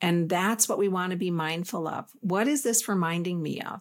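A normal speaking voice from a woman, medium in pitch with ordinary pitch variation, in a very clean recording with a silent background. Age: 50s. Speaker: spiritual podcast host and coach. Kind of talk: solo talk on relationships and spirituality. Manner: calm.

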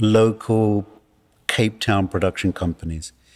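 In a British accent, a man at medium pitch speaks at a fairly slow pace on a very clean recording with a silent background. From England. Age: old. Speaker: film producer. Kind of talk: interview.

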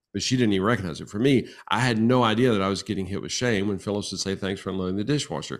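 This very clean recording with a silent background has a man speaking at a fairly low pitch with ordinary pitch variation. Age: 60s. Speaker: marriage and family therapist. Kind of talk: interview.

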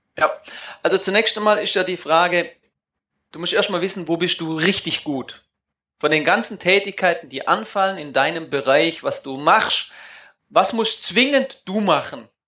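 Using lively intonation, a man speaks in a high pitch at a moderate pace, with long, frequent pauses. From Germany. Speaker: online marketing and outsourcing coach. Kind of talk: interview. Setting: phone call.

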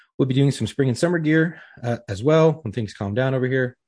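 Over a quiet background, a man talks at a very fast pace in a somewhat breathy voice of medium pitch with ordinary pitch variation. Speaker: podcast co-host. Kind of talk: casual chat.

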